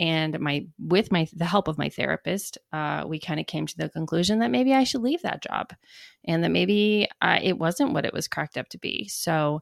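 In a very clean recording with a silent background and a dry, close sound with no echo, a woman with a plain, everyday voice speaks at a moderate pace in a fairly low pitch. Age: 30s. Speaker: podcast host. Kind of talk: personal storytelling monologue.

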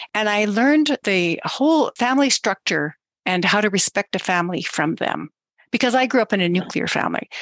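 A woman with a plain, everyday voice speaks at medium pitch and a fairly quick pace, with lively intonation and very even loudness, in a dry, close sound with no echo against a quiet background. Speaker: podcast host. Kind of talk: interview, conversational.

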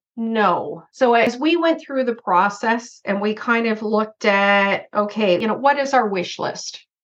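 Here a woman speaks in a plain, everyday voice at a fairly slow pace with hardly any pauses. Her pitch is fairly high with ordinary pitch variation. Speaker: insurance broker and consultant. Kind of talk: casual interview chat.

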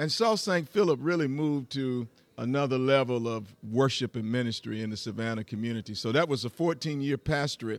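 Over a silent background in a very clean recording, a man talks at a fairly quick pace with hardly any pauses, a medium pitch and ordinary pitch variation. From US South, rural Georgia. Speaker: pastor. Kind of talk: interview. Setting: live at hotel conference.

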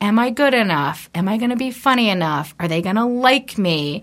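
A woman speaks fairly slowly at a fairly high pitch with very wide pitch swings. The recording is very clean, with a silent background. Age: 30s. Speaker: podcast guest, host's sister. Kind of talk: casual chat. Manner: halting, filler-heavy.

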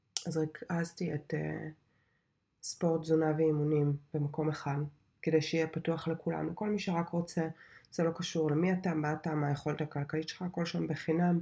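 With long, frequent pauses, a woman speaks at a moderate pace in a very deep, low pitch, her tone dark and mellow and her intonation monotone and flat. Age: 30s. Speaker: podcast host and software developer. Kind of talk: casual monologue.

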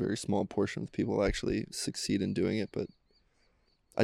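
A man with an American accent speaks at a very fast pace, his fairly low voice showing vocal fry and fairly even intonation. The recording is very clean and silent in the background, with a dry, close sound and no echo. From US Midwest, Cincinnati. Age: 30s. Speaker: professional volleyball player. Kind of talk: casual chat. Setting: recorded on location during a tournament.

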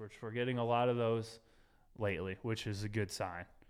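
An ordinary speaking voice at a moderate pace, on a very clean recording with a silent background. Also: man. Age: 30s. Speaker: podcast host and real estate business owner. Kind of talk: casual chat. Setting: studio.

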